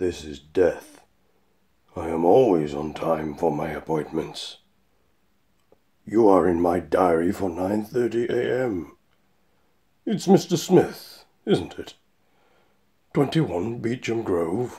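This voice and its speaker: A man's put-on character voice, very deep and low in pitch, at a very slow pace with long, frequent pauses. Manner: calm, polite, unhurried, faintly menacing.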